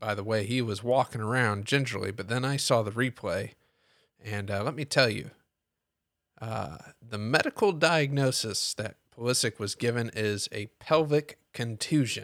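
With an American accent, a man has an ordinary speaking voice at a medium pitch with ordinary pitch variation, recorded with a dry, close sound with no echo and a very clean, silent background. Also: moderate pace. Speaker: podcast host. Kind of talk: solo sports podcast recap. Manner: conversational, opinionated, filler-heavy; self-correcting.

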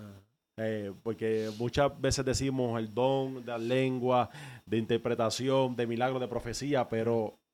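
At a very slow pace, a man with a dark, mellow tone speaks in a medium pitch with fairly even intonation. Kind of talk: casual interview.

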